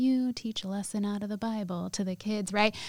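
Heard in a very clean recording with a silent background, a woman with an American accent uses a normal speaking voice at medium pitch, talking at a fairly quick pace with fairly even intonation. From Sacramento area, California. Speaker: restaurant owner. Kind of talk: interview.

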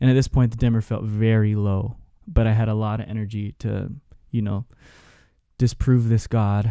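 In a very clean recording with a silent background, a man speaks with a fairly low pitch and a dark, mellow tone. His intonation is monotone and flat, at a moderate pace with long, frequent pauses. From Hawaii (Honolulu, Oahu). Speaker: youth pastor. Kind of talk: casual interview conversation.

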